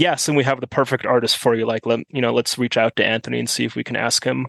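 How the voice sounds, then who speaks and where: A man with an American accent talks at a very fast pace in a medium pitch. Intonation is fairly even, and the sound is dry and close with no echo. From Germany. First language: German. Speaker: car enthusiast. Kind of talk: casual chat.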